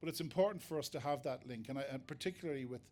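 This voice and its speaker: Delivered at a very fast pace, a man talks with an Irish accent. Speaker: foraging teacher. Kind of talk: lecture. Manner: halting, many fillers and repeats.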